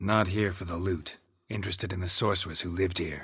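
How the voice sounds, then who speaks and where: A man's put-on character voice, raspy and very deep, delivered in a deadpan tone at a very fast pace. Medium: video game. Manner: terse, deadpan.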